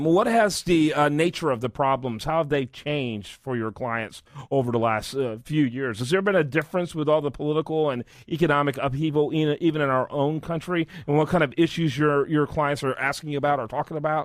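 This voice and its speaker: With an ordinary speaking voice, a man talks at a fairly quick pace and fairly high pitch, with ordinary pitch variation. He barely pauses, and the recording is very clean, with a silent background. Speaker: radio show host. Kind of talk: radio interview, host questions.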